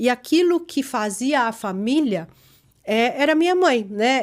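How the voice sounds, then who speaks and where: A woman speaks in a high pitch. The recording is very clean, with a silent background. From Chile. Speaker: gynecologist and podcast host. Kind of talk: casual family interview.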